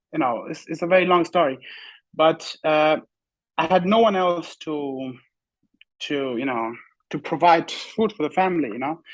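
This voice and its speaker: In an Afghan accent, a man speaks with a high pitch at a moderate pace. The background is quiet. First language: Pashto. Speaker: bodybuilder. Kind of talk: interview. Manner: halting.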